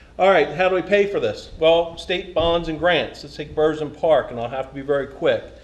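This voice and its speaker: A high-pitched man speaks with ordinary pitch variation and big swings in loudness. Noticeable background noise runs underneath. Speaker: town council candidate, retired police officer. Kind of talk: candidate forum answer. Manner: fast.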